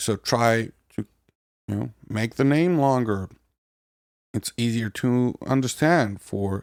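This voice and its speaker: A man's medium-pitched voice with a non-native accent and ordinary pitch variation, in a very clean recording with a silent background. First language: not English. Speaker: podcast host, software developer. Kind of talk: casual podcast talk.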